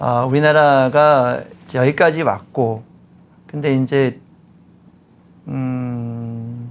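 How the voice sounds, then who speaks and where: At a very slow pace with long, frequent pauses, a man talks in a medium pitch and fairly even intonation. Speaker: former presidential economic adviser. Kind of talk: interview.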